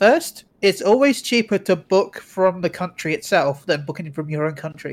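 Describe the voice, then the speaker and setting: Moderate pace and ordinary pitch variation in an English accent, on a very clean recording with a silent background. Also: man, high pitch for a man. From England. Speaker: guest co-host, streamer. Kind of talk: casual chat.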